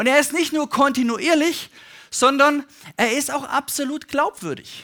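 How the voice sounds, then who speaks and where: A man's extremely high, bright, sharp voice is raised and projected, moving at a fairly slow pace with ordinary pitch variation in a very clean recording with a silent background. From Germany, Stuttgart. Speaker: pastor. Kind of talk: sermon.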